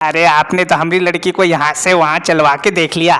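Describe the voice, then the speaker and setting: A man uses a cartoonish character voice, high in pitch, at a moderate pace. His intonation is monotone and flat, and his loudness is very even. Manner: polite, humble.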